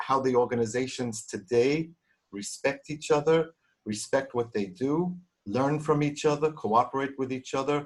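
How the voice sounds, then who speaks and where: A man talks with a Brooklyn accent at medium pitch. He keeps a moderate pace and ordinary pitch variation. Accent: New York (Brooklyn). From US Northeast, Brooklyn. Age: old. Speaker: audience member, immigrant. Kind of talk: casual remarks in an online Q&A. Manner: halting, repeated words.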